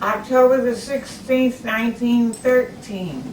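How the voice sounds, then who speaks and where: Speaking very slowly in a Texan accent, a woman has a fairly high pitch and fairly even intonation. Noticeable background noise runs underneath. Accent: Texan Southern US. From Texas, Galveston. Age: 90s. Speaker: great-grandmother. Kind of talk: family interview, reminiscing. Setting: at home.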